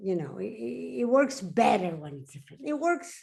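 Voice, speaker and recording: A woman speaks with a Spanish accent. Her tone is dark and mellow. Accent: Spanish accent, noticeable. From Mexico. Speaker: science journalist. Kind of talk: panel discussion. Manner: slow, halting.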